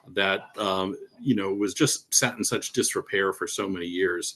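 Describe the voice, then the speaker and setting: A man talking at a moderate pace. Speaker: theater manager. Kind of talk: interview presentation. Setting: video call. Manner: halting.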